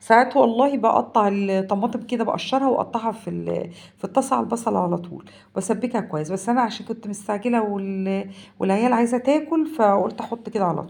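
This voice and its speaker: Fairly quick speech from a woman with an Egyptian accent, fairly high in pitch with ordinary pitch variation. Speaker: home cooking vlogger. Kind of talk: cooking tutorial. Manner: casual, halting.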